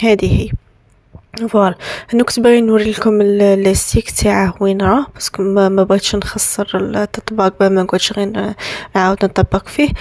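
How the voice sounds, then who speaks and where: In an Algerian accent, a woman speaks at a moderate pace and medium pitch, her intonation monotone and flat. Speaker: lifestyle vlogger, bride-to-be. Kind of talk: tutorial. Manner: casual, hesitant with restarts.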